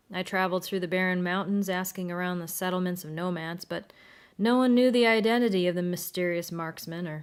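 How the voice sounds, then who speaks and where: In a very clean recording with a silent background, a woman with an ordinary speaking voice talks at a fairly quick pace, with medium pitch and ordinary pitch variation. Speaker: voice actress. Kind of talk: audiobook narration.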